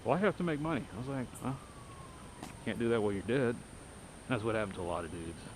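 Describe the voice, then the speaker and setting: The man talks at a very fast pace but with long, frequent pauses, at medium pitch with lively intonation. Audible room echo surrounds his voice. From Texas. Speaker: video journal vlogger. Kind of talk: casual monologue while walking. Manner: rambling conversational. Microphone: poor audio with noise.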